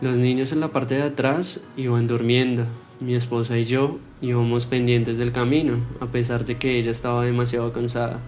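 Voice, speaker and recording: Against music in the background, a man speaks at a moderate pace in a monotone, flat way. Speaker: storyteller. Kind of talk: horror story narration.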